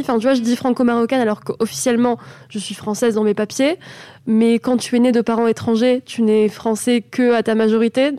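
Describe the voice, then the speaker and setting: A woman with a plain, everyday voice speaks at a fairly quick pace and fairly high pitch, her intonation fairly even, in a dry, close sound with no echo. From France, Avignon, Moroccan family. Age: 20s. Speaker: podcast host guest. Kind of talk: casual chat. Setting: studio.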